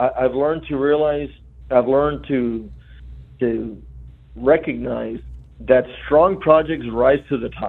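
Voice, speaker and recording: A man at medium pitch, fairly slow pace, and fairly even intonation, with long, frequent pauses. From Rio Grande Valley, South Texas. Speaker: state transportation commissioner. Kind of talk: radio interview.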